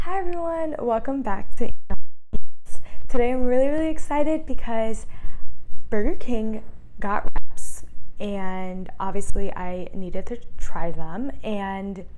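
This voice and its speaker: A woman's very slow speech with very wide pitch swings, music in the background. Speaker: food reviewer. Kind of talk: casual vlog chat. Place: kitchen.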